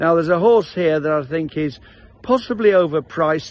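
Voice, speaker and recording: A man's voice, dry and free of echo. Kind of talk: betting tips commentary. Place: open country. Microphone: phone near.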